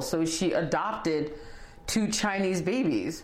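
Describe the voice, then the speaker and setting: Noticeable background noise sits behind a woman speaking with an American accent. Her pitch varies in an ordinary way. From Haiti, then US as a child. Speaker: educator. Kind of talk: interview testimony. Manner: passionate.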